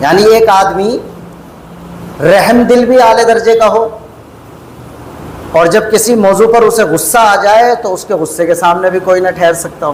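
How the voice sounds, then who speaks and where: A man with a high voice speaks with ordinary pitch variation and long, frequent pauses, amid noticeable background noise and audible room echo. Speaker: Islamic scholar, lecturer. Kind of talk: religious lecture. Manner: measured, calm rather than fiery.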